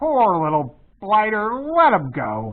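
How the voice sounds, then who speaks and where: In a put-on character voice, the speaker goes fairly slowly at a fairly high pitch with very wide pitch swings. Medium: read story. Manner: coarse, uneducated.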